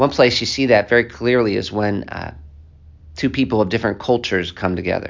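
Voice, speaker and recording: Speaking in an American accent, a man has a normal speaking voice at medium pitch, a fairly quick pace and ordinary pitch variation. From United States. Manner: earnest, pleading, with frequent fillers.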